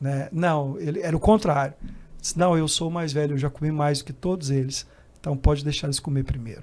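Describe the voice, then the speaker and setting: A man's fairly high voice with a Brazilian accent, fairly quick in pace and fairly even in intonation. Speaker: missionary. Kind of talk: casual chat.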